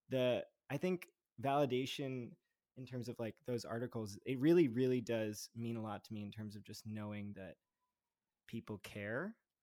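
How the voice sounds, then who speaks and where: In a dry, close sound with no echo, an American-accented man with a dark, mellow tone speaks at a moderate pace, with ordinary pitch variation and big swings in loudness. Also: medium pitch for a man. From New Jersey (Montclair). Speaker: musician and union organizer. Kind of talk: casual chat.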